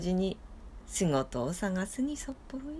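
Her pitch swings very widely as this woman talks. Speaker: storyteller. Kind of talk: storytelling reading. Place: home room. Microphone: phone near.

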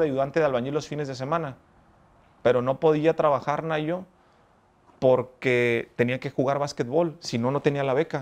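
Intonation fairly even, a man keeps his speech at a moderate pace. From Mexico, Ensenada, Baja California; Baja California, Mexico. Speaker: lawyer and businessman, former gang member; interviewee. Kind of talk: life story interview. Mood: reflective, earnest. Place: garden. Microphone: lapel.

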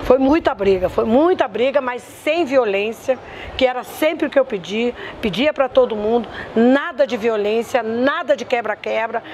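Over light background noise, a woman with a high voice speaks at a moderate pace with lively intonation. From southern Brazil, Porto Alegre; Rio Grande do Sul, Brazil. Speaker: community activist. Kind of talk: testimony. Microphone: lapel.

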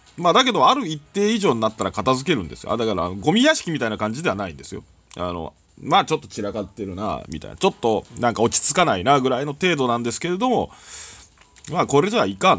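At a very fast pace, a man speaks with a medium pitch and vocal fry. His voice makes very wide pitch swings and big swings in loudness. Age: 40s. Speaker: gaming YouTuber. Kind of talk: casual monologue over gameplay. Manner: chatty with frequent laughs.

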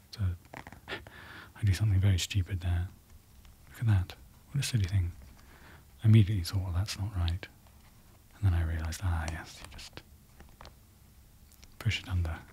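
A soft-spoken man with a British accent talks in a very deep, low voice with fairly even intonation. He leaves long, frequent pauses, and there is noticeable background noise. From United Kingdom. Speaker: ASMR creator. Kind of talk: ASMR unboxing rambling.

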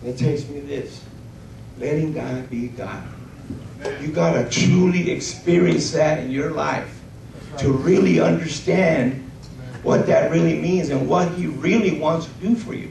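With audible room echo, a slightly mellow tone with vocal fry moves at a fairly slow pace with ordinary pitch variation. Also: man, fairly high pitch for a man.

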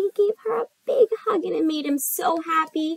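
A woman speaks at a moderate pace with an extremely high pitch and vocal fry. Her pitch varies in an ordinary way. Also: dry, close sound with no echo.

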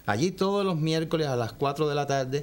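The speaker is a man with a fairly high pitch. His pitch variation is ordinary. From Cuba. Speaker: saxophonist in a big band. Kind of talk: TV interview. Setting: TV studio. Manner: hesitant, with fillers. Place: studio.

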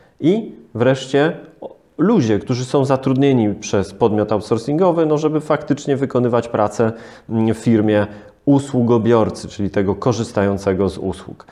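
A man speaks with a dark, mellow tone, his pitch moving in a normal way, at an even, moderate speed over a hushed background. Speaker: lawyer. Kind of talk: interview. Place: studio.

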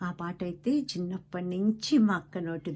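A dark, mellow tone with fairly even intonation over a quiet background. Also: woman. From West Godavari, Andhra Pradesh, India. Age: 70s. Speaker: video blogger. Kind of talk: personal reminiscence.

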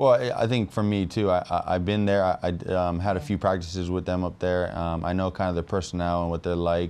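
A man talks at a fairly quick pace with hardly any pauses. His very deep, low voice keeps a fairly even intonation. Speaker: professional football player. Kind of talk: interview. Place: studio. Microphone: lapel.

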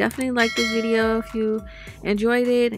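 A woman at a fairly quick pace, dry with no echo, with faint music in the background. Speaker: new mother vlogger. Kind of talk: casual vlog chat. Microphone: phone near.

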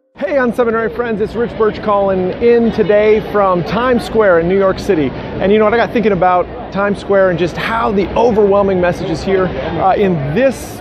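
Talking fairly quickly with hardly any pauses, a man with a high voice and ordinary pitch variation comes through with a dry sound with no echo over noticeable background noise. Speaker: ministry leadership coach. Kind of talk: casual vlog chat. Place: street. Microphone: phone near.

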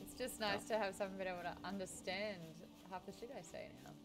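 Against clear music in the background, a woman with an Australian accent speaks at a fairly quick pace. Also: big swings in loudness. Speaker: streamer. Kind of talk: casual game stream chat. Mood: relaxed, joking. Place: home room.

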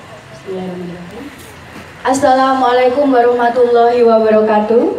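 Against light background noise and audible room echo, a woman talks at a very fast pace in a high pitch with ordinary pitch variation. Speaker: master of ceremonies. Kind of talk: lively crowd warm-up.

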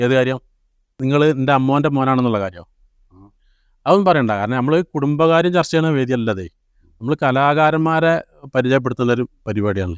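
In an ordinary speaking voice of medium pitch, a man speaks with lively intonation, the sound dry and close with no echo. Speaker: home-movie maker and show host. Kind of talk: casual interview.

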